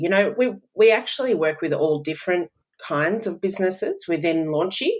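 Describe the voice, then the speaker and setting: A woman talks with an Australian accent. She keeps a moderate pace and ordinary pitch variation. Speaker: business automation consultant. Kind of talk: podcast interview.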